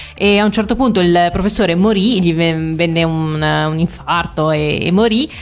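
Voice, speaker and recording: Using lively intonation, a woman talks at a fairly low pitch in an unremarkable speaking voice. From Italy, small town. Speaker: anime website contributor, Japan travel expert. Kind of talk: radio interview, casual chat.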